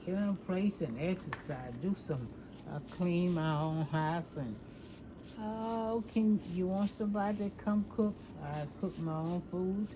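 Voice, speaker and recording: With music in the background, the speaker goes very slowly, using ordinary pitch variation. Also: woman. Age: 80s+. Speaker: salon client sharing life stories. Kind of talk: casual chat.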